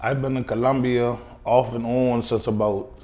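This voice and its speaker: Spoken with a Charleston Lowcountry accent, the voice has a dark, mellow tone and audible room echo. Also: man. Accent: Charleston Lowcountry accent, noticeable. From US South, Charleston area, South Carolina. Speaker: chef and restaurant owner. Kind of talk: interview.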